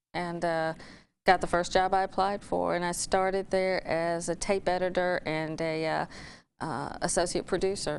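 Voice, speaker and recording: A woman speaks in a monotone, flat manner at a fairly low pitch, with a slight Alabama accent. Her pace is moderate, and the background is quiet. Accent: Alabama, faint. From Alabama, Talladega. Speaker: former TV news anchor. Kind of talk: interview.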